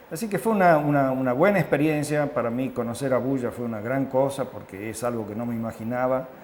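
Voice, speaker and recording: In a room with audible echo, a man at medium pitch talks at a fairly quick pace with hardly any pauses and ordinary pitch variation. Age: 70s. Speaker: international health consultant. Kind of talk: interview. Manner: hesitant, with fillers.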